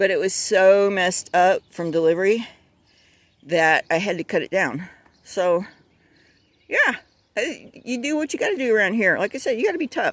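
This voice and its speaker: Speaking at a moderate pace with long, frequent pauses, a woman of medium pitch uses lively intonation in a dry, close sound with no echo. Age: 60s. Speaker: home gardener. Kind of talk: casual talk to camera. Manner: chatty, upbeat.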